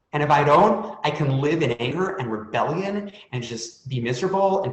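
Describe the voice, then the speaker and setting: Lively intonation from a fairly high-pitched man, with echo audible in the room. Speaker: author and panelist on stuttering. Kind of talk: panel discussion testimony.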